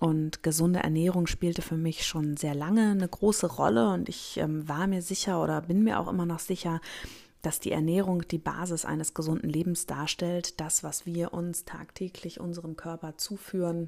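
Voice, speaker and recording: At a moderate pace, a woman speaks with a fairly low pitch, a dark, mellow tone and fairly even intonation. The recording is very clean, with a silent background. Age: 30s. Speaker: gynecologist and podcast host. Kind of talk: solo podcast monologue.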